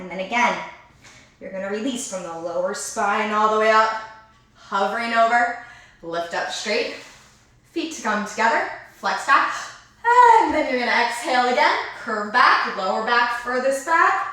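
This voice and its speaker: A woman speaks at a moderate pace with fairly high pitch, lively intonation and big swings in loudness. Long, frequent pauses break her speech, and room echo is audible. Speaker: dance teacher. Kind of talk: online dance class instruction.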